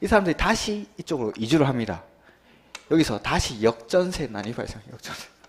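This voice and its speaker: With vocal fry, a man speaks at a fairly quick pace, his pitch swinging very widely. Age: young. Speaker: real estate law exam lecturer. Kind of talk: lecture. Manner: fast; animated.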